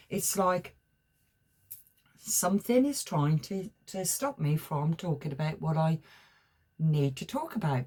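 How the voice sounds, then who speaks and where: In an English accent, a somewhat breathy voice moves at a moderate pace with lively intonation. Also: woman. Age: 60s. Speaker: tarot reader. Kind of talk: spiritual talk to camera. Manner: halting.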